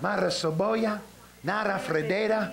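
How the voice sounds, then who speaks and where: Music plays in the background. A man speaks in a high voice with a warm tone. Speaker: preacher. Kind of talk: revival sermon with prayer for the sick. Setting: church revival meeting with live congregation. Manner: warm, conversational, laughing between exhortations.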